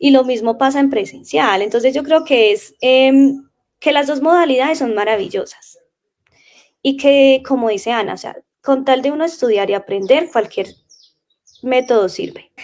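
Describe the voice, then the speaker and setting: A woman talks with a high pitch and ordinary pitch variation. Her pace is moderate. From Colombia, Caldas. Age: 20s. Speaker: language teacher. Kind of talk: casual interview chat.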